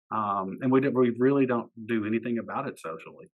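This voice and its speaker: At a medium pitch, a man talks with an Eastern Kentucky accent. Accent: Appalachian Eastern Kentucky. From Eastern Kentucky, Floyd County. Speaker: poet and teacher. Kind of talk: casual interview chat.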